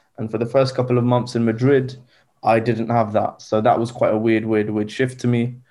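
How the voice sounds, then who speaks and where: A man with a southern English accent talks at a fairly quick pace in a dark, mellow tone, his intonation monotone and flat. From southern England (Southampton). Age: 20s. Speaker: recent graduate. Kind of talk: casual chat.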